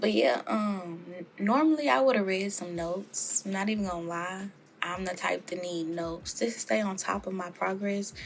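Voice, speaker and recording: A woman speaks with a Louisiana accent. Her intonation is lively and her pace moderate. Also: medium pitch for a woman. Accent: Louisiana Southern US. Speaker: soap maker youtuber. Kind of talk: tutorial. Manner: casual, chatty.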